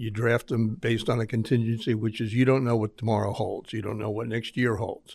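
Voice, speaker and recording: A man with an unremarkable speaking voice at a medium pitch and fairly quick pace, on a very clean recording with a silent background. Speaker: lawyer. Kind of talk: radio interview. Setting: studio.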